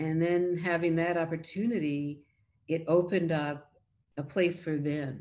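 Speaking in an American accent, a woman delivers her lines at a fairly slow pace with monotone, flat intonation and a dark, mellow tone. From US Northeast, Philadelphia. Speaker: photography professor and historian; photography professor. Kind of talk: interview. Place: home room. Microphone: webcam.

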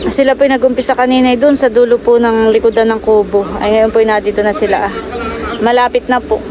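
A woman talks very fast at a fairly high pitch, in a monotone, flat intonation with very even loudness. Noticeable background noise runs underneath. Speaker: vlogger. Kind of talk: vlog narration. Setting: outdoors.

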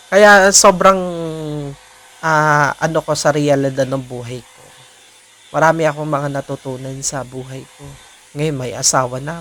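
A man speaks in a fairly high pitch, with long, frequent pauses and big swings in loudness. There is noticeable background noise. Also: ordinary pitch variation, moderate pace. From Philippines. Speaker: vlogger. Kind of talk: personal vlog monologue. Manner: hesitant, many fillers.

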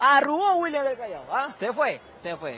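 The tone is animated. The sound is dry with no echo, and there is light background noise. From Peru. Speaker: sports reporter. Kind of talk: live street reporting and fan interviews. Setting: outdoors outside a stadium among fans. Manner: fast, animated. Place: street. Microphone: handheld.

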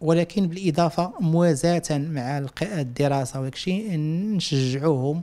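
A man speaks at a very slow pace in a dark, mellow tone, his pitch varying in an ordinary way. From Morocco, Casablanca. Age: 40s. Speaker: visual artist. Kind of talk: interview. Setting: at home. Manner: halting. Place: home room. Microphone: handheld.

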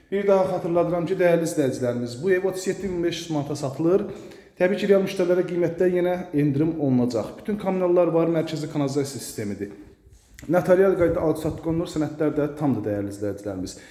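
A high-pitched man talks at a very fast pace with lively intonation. Noticeable background noise and audible room echo fill the recording. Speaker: real estate agent. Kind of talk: sales pitch.

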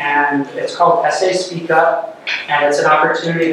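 Recorded with strong room echo and noticeable background noise, a man talks at a moderate pace. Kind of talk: meeting presentation. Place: meeting room. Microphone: camera far.

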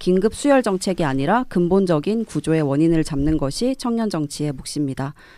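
Against a quiet background with a dry sound and no echo, a woman with a dark, mellow tone and a fairly low pitch speaks at a moderate pace with very wide pitch swings. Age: young. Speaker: young politician, local election candidate; young politician, election candidate. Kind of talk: radio panel discussion. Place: studio. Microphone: studio mic.

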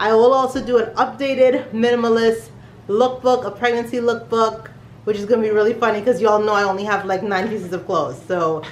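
Fairly quick speech with fairly even intonation carries audible room echo and light background noise. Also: woman. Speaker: family vlogger. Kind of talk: casual vlog chat. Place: home room. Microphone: phone near.

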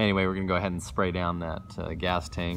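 Very fast speech from a man with a very deep, low voice over light background noise. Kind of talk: casual vlog chat. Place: garage. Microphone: phone near.

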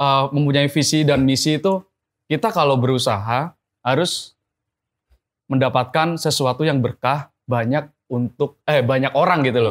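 Against a quiet background, a man with a fairly high pitch speaks at a moderate pace with ordinary pitch variation. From Central Java (Blora); Central Java. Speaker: entrepreneur; guest. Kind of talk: interview. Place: studio.

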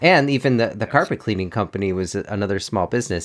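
Heard in a very clean recording with a silent background, a man has a normal speaking voice, fairly low in pitch with ordinary pitch variation. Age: 50s. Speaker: podcast host. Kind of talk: podcast interview.

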